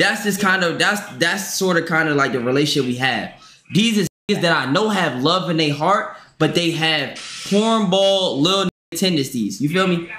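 Amid light background noise and audible room echo, a high-pitched man talks at a moderate pace with ordinary pitch variation and very even loudness. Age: 20s. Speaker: livestreamer. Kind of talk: casual livestream chat. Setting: livestream with Discord call. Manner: animated. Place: home room. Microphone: headset.

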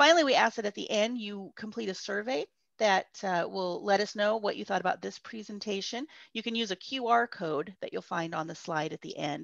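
Lively intonation marks a woman's voice at a fairly quick pace. The sound is dry with no echo, over a quiet background. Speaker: camp host. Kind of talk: session introduction to children. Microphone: video call.

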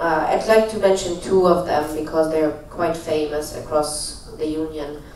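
Hardly pausing, a man talks in a fairly high pitch amid light background noise and audible room echo. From Germany. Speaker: startup incubator founder. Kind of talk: panel discussion. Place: hall.

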